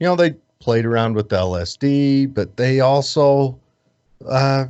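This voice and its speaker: A man's normal speaking voice with an American accent, medium in pitch, at a fairly slow pace with ordinary pitch variation. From United States. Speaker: podcast host. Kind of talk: casual interview chat.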